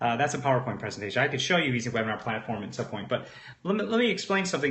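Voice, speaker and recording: A man speaks at a fairly high pitch. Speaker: webinar trainer / online marketer. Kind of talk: live webinar presentation. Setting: live stream. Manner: fast; animated, conversational with fillers.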